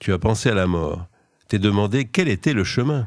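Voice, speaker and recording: Against a quiet background, a man with a fairly low pitch speaks at a fairly slow pace with very wide pitch swings. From Limousin, France; France. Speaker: poet; poet, interview guest. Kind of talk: poetry reading; radio interview. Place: studio.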